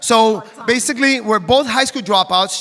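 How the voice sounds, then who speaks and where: A man speaks fairly quickly in a raised, projected voice with an animated tone. His pitch varies in an ordinary way over noticeable background noise. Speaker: network marketing distributor. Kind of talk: stage testimony. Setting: stage with audience. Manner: fast.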